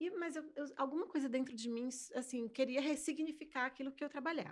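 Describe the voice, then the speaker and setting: A woman's high-pitched voice, fairly quick, with ordinary pitch variation. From Brazil, Fortaleza (early childhood abroad). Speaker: sign language interpreter. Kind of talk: interview.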